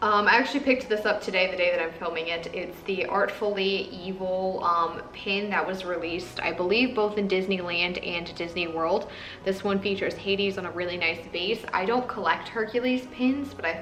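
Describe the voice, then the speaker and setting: A woman talks at a medium pitch with hardly any pauses. Music plays in the background, and room echo is audible. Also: ordinary pitch variation. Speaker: Disney pin collector vlogger. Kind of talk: casual haul video. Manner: fast.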